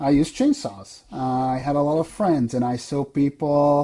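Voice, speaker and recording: A man with a European accent speaks at a fairly high pitch. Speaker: software sales director, former arborist. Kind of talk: podcast interview.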